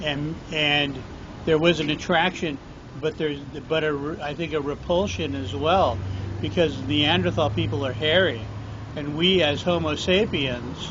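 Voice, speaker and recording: The speech is fairly slow with lively intonation. Audible room echo and noticeable background noise surround it. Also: man, fairly high pitch for a man. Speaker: podcast host. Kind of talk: casual chat.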